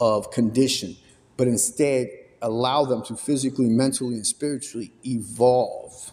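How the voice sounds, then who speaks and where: This man has a plain, everyday voice at a medium pitch. His intonation stays fairly even. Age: 30s. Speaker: podcast interviewer. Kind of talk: interview question.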